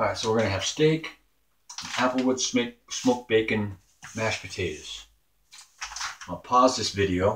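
Somewhat breathy, a man speaks at a moderate pace with ordinary pitch variation over light background noise. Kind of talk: casual cooking vlog. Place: kitchen. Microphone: camera far.

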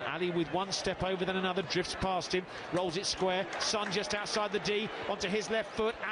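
Against noticeable background noise, the voice has an animated tone and very even loudness. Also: man, high pitch for a man. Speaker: football commentator. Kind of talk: live football match commentary. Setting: broadcast commentary over match footage. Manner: fast, animated play-by-play, rising excitement at goals.

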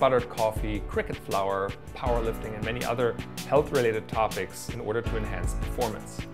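Clear music sounds in the background. Over it, a man talks at a fairly quick pace. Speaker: podcast host. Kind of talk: show intro read. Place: home room.

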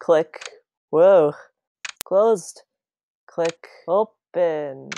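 A woman's cartoonish character voice, very slow, fairly low in pitch, with vocal fry, ordinary pitch variation and a dark, mellow tone.

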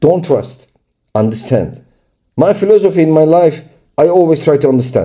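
Against a quiet background, a man with a Turkish accent speaks in a dark, mellow tone at a fairly high pitch, with ordinary pitch variation, very even loudness and long, frequent pauses. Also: moderate pace. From Turkey. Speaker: crypto trading YouTuber. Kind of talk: screen-share tutorial. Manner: halting.

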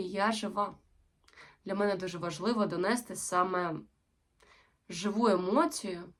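The woman talks at a medium pitch. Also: long, frequent pauses. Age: 20s. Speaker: actress. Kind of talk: self-presentation video.

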